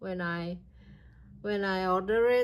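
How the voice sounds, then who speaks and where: Over a silent background in a very clean recording, a woman with a non-native accent speaks at a medium pitch in a monotone, flat delivery. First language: not English. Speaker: crochet YouTuber. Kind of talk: product review vlog. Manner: halting.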